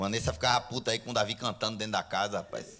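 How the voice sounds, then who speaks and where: Very fast and animated, a man speaks. His pitch is fairly low. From Brazil. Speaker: stand-up comedian. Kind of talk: stand-up comedy. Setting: stage with audience. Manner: animated, fast, irreverent, punchline-driven; casual, profane, bro-style slang. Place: stage. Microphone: handheld.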